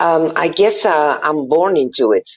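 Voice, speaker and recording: A woman speaks with a Dutch accent. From Belgium. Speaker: happiness coach and tattoo artist. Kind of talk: interview conversation.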